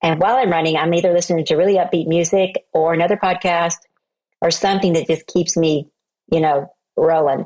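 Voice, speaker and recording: With an American accent, a woman uses a plain, everyday voice at a fairly low pitch and very even loudness. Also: fairly even intonation, fairly quick pace. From Oklahoma, US. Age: 60s. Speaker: entrepreneur and speaker. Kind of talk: interview conversation.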